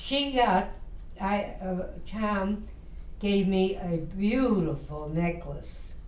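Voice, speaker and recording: In a room with audible echo, a woman talks at a medium pitch with ordinary pitch variation. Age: 80s+. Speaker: grandmother telling her life story. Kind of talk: casual chat. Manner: halting.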